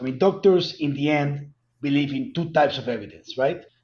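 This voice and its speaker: A man speaks with a strong Colombian accent and lively intonation. His voice is fairly high and somewhat breathy. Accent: heavy Colombian Spanish. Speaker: cannabis company executive. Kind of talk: interview.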